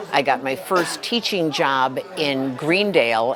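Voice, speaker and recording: A woman with an American accent and a very deep, low pitch, amid noticeable background noise and audible room echo. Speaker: retired English teacher. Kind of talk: casual interview. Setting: restaurant event.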